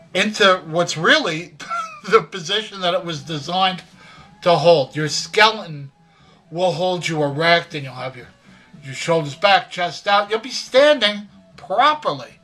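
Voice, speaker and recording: Against music in the background, a man with a high pitch and lively intonation talks at a fairly slow pace with big swings in loudness. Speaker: grandfather. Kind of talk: casual advice talk to camera. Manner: folksy, conversational.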